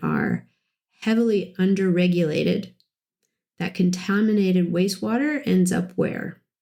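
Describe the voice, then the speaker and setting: A woman's dark, mellow, somewhat breathy tone at medium pitch with ordinary pitch variation. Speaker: podcast host. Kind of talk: podcast monologue.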